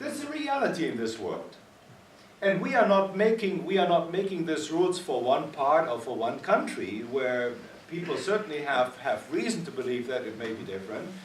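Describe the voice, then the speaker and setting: Speaking at a moderate pace with a German accent, a man with a high pitch makes very wide pitch swings amid noticeable background noise and audible room echo. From Germany. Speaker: physician and ethics panelist. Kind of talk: panel discussion. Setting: conference meeting. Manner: animated.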